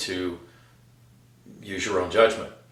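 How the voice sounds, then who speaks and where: Audible room echo follows a man speaking with an American accent. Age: 70s. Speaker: Vietnam combat veteran, fitness channel host. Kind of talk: casual talk to camera, fitness advice. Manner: frequent fillers and hesitations.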